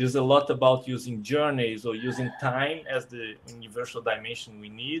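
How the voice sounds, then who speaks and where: With a Portuguese accent, a man speaks at a moderate pace with hardly any pauses, fairly even intonation and big swings in loudness. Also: medium pitch for a man. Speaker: design operations speaker on a panel. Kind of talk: panel presentation. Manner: halting with repeated words.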